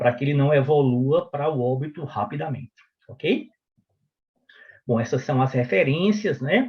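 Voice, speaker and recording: A man speaks in a fairly high, somewhat breathy voice with ordinary pitch variation. His fairly slow delivery has long, frequent pauses. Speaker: physician and medical professor. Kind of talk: lecture.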